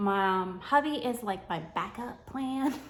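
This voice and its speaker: An animated woman's voice in a New York accent, fairly high in pitch, with a bright, sharp tone. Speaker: homeschooling mom and content creator. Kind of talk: sponsored tutorial vlog. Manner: casual, animated.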